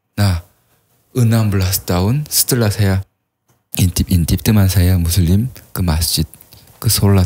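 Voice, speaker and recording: A man with a strong Korean accent, somewhat breathy and dark, mellow in tone, fairly low-pitched with ordinary pitch variation, at a fairly slow pace with long, frequent pauses. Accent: thick Korean accent in Indonesian. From South Korea. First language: Korean (speaking Indonesian). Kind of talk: podcast interview, personal testimony.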